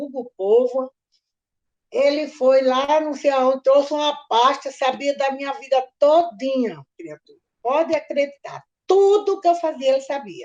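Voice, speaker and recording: Her pace is fairly slow. The woman's pitch is high. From Natal, Rio Grande do Norte, Brazil. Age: 70s. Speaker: retired history teacher. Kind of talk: oral history interview. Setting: video call. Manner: loud.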